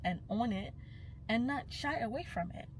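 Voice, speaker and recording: A woman with a Nigerian accent speaks at a moderate pace in a somewhat breathy voice with lively intonation. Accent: Nigerian (Yoruba) English. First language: Yoruba. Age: young. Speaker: cultural commentator. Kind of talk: vlog monologue.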